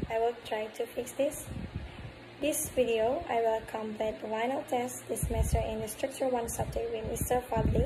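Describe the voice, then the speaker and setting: A woman with an Indonesian accent speaks in a fairly high voice with fairly even intonation over noticeable background noise. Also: moderate pace. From Bengkulu, Indonesia. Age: young. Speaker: university student. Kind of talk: class assignment self-introduction. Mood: friendly, smiling. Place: home room. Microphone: phone near.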